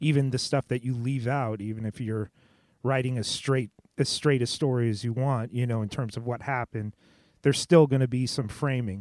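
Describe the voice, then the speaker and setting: A man with an American accent speaks in an unremarkable speaking voice at a medium pitch and fairly quick pace, with fairly even intonation, in a dry, close sound with no echo on a very clean recording with a silent background. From Southern California (Los Angeles). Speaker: podcast host and radio DJ. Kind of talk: casual chat.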